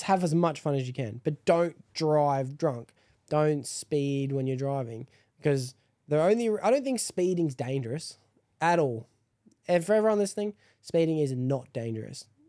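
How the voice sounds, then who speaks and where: A man's fairly high voice with a dark, mellow tone, lively intonation and long, frequent pauses, against a quiet background. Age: 20s. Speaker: podcast host. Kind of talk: casual chat. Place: home room. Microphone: studio mic.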